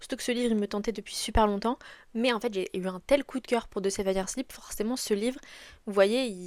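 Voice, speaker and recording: A woman with a fairly high pitch is heard on a very clean recording against a silent background. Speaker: book youtuber. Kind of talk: casual vlog chat. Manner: animated, enthusiastic.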